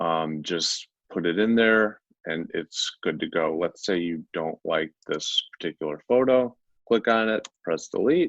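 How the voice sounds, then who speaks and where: In an ordinary speaking voice, a man with fairly low pitch talks at a fairly slow pace with lively intonation. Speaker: digital media strategist giving software demo. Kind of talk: tutorial. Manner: casual with frequent fillers.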